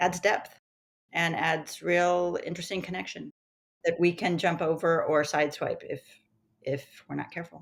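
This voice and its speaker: A woman speaks in a plain, everyday voice, fairly low in pitch, at a fairly quick pace with fairly even intonation. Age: 60s. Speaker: acupuncturist. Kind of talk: interview.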